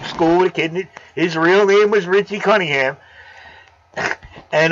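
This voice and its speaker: Over noticeable background noise, a man speaks loudly at a moderate pace, his high voice moving with ordinary pitch variation. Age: 50s. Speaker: aquarium live streamer. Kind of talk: casual chat. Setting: live stream.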